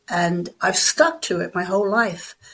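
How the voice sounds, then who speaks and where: A woman speaks with an Irish accent at a fairly slow pace. Her pitch varies in an ordinary way. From Ireland. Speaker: bodybuilder and personal trainer. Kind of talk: interview.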